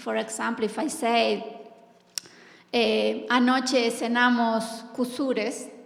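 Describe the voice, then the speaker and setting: A woman with a Spanish accent speaks at a very slow pace in a fairly high pitch. Noticeable background noise and audible room echo fill the recording. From Argentina. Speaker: poet and professor. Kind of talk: panel discussion.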